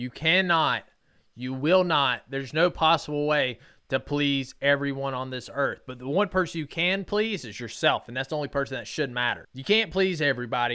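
With an animated, bright, sharp tone, a man speaks at a moderate pace. His voice is fairly high and shows ordinary pitch variation. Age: 30s. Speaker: podcast host. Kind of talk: motivational monologue.

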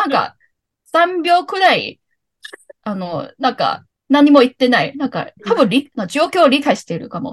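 A woman with a Cantonese accent, high pitch and fairly slow pace, in a dry, close sound with no echo. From Hong Kong. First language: Cantonese (speaking Japanese). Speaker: podcast guest, former sharehouse mate. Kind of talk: casual chat.

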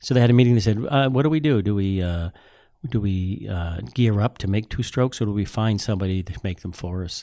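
At a fairly quick pace, a man with a fairly low, dark, mellow voice speaks with ordinary pitch variation against a quiet background. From US Northeast, Boston area. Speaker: museum collections manager. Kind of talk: interview.

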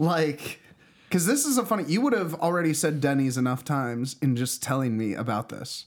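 Fairly high in pitch, a man uses an ordinary speaking voice with lively intonation at a fairly quick pace. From Pittsburgh, US. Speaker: musician. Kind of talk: casual chat.

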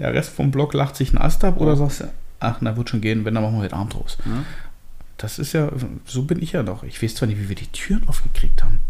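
A man talks very fast at a medium pitch with lively intonation. Audible room echo surrounds his voice. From eastern Germany, Hoyerswerda (Lausitz, Saxony). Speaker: podcast co-host. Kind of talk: casual chat.

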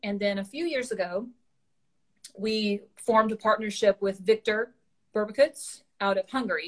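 The speaker talks with a Southern US accent at a fairly slow pace. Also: woman. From rural Louisiana, US South. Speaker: martial arts equipment business owner. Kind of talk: casual interview.

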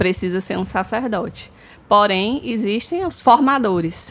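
A woman's normal speaking voice, fairly high in pitch, with ordinary pitch variation and a fairly slow pace. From Brazil, São Luís, Maranhão. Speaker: marketing agency co-founder. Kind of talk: casual chat.

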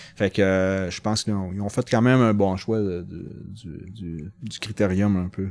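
A man with a Saguenay–Lac-Saint-Jean accent speaks at a fairly slow pace and a fairly low pitch. His intonation is fairly even, but his loudness swings widely. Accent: Québécois French, Saguenay–Lac-Saint-Jean. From Quebec, Lac-Saint-Jean. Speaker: amateur mountain bike racer. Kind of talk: casual chat. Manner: halting, many repetitions.

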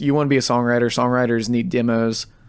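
A man talks at a very fast pace with an American accent. His medium-pitched voice keeps a fairly even intonation. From Ohio, Cambridge. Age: 20s. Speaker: musician. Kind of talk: casual chat. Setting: studio.

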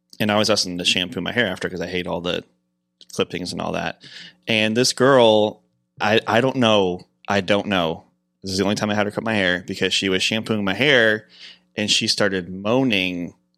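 Someone with an American accent speaks at a fairly quick pace in a bright, sharp tone with fairly even intonation. The recording is very clean, with a silent background. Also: man, fairly low pitch for a man. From Michigan. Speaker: podcast producer. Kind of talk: casual chat. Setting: studio.

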